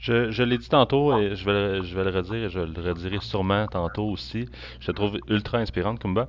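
With a Quebec accent, the speaker moves at a fairly quick pace using lively intonation. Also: man, fairly low pitch for a man. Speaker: podcast host. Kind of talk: interview conversation. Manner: halting.

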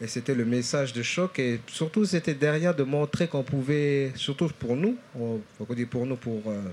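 A man of medium pitch speaks at a fairly slow pace. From New Caledonia, Nouméa (Kanak from Lifou). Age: 40s. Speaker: slam poet. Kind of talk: public talk interview. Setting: stage with audience at book fair. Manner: halting.

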